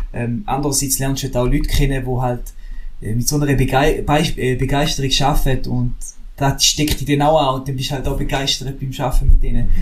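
Over noticeable background noise and audible room echo, a man talks at a moderate pace. His fairly high pitch stays in monotone, flat intonation. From Switzerland, St. Gallen. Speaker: drone videographer. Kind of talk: casual chat.

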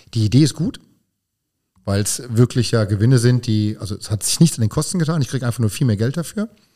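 Over a very clean, silent background, a man with a dark, mellow, somewhat breathy voice talks at a very fast pace, medium in pitch with ordinary variation. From Hunsrück, Rhineland-Palatinate, Germany. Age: 50s. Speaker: energy company spokesperson. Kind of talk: podcast interview.

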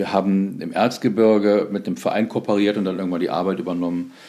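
Dark and mellow in tone, a man's voice sits at a fairly low pitch. His pitch varies in an ordinary way. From Solingen, western Germany. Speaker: nonprofit foundation executive. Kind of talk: interview conversation.

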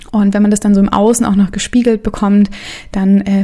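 A woman speaks at a fairly quick pace with a medium pitch. Her intonation is monotone and flat, and there is noticeable background noise. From Stuttgart, Germany. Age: 20s. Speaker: yoga teacher and podcast host. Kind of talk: personal monologue; lecture. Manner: casual, many filler sounds.

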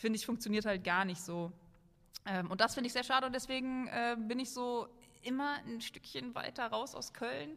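At a moderate pace, a woman speaks in a normal speaking voice with fairly high pitch and ordinary pitch variation. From western Germany, Oberbergisches Land near Cologne. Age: 30s. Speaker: maker and video creator. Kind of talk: casual chat.

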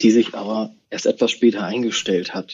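Here a man has an ordinary speaking voice, medium in pitch, and talks at a fairly slow pace. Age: 40s. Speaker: bank executive. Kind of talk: interview.

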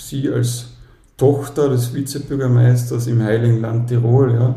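In a room with audible echo, a man speaks at medium pitch. His intonation is monotone and flat, and his pace is fairly slow. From Austria, Carinthia. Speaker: dad blogger. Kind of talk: interview.

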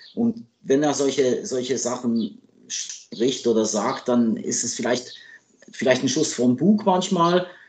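Lively intonation marks this man's speech. He talks at a medium pitch and a fairly slow pace. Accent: French. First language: French (speaking German). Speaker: hockey journalist and sports agent. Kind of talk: interview. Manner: hesitant with fillers.

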